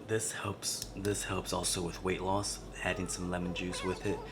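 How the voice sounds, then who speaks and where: A soft-spoken man talks at a fairly slow pace. Audible room echo and noticeable background noise accompany him. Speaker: transformational coach and vlogger. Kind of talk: casual vlog tutorial. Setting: at home, basement.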